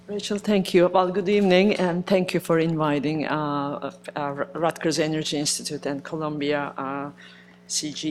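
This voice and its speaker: Fairly low pitch from a woman, at a moderate pace. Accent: Turkish. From Turkey. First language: Turkish. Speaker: research center director, chemical engineer. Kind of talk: panel talk. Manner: halting, many fillers.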